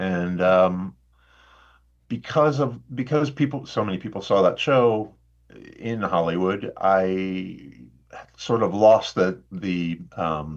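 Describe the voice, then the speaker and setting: Against a quiet background, a man with a Midwestern American accent speaks very slowly at a fairly low pitch. His intonation is lively, and he takes long, frequent pauses. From Indiana, US Midwest. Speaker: actor. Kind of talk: podcast interview.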